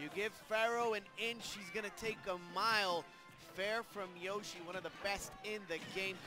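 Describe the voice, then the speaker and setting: A man with a high pitch speaks in a raised, projected voice at a fairly slow pace. Music plays in the background. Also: fairly even intonation. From Puerto Rico. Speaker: esports commentator. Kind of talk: live esports play-by-play commentary.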